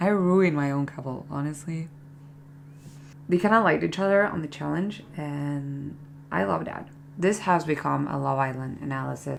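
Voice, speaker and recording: Lively intonation in a non-native accent, a moderate pace, long, frequent pauses and audible room echo. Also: woman, very deep, low pitch for a woman. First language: not English. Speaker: beauty vlogger. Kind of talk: casual chat. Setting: bedroom. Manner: chatty, filler-heavy.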